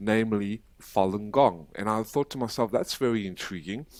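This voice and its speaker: A man's plain, everyday voice, fairly low, with an American accent at a moderate pace, on a very clean recording with a silent background. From South Africa. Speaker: human rights activist. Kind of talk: podcast interview.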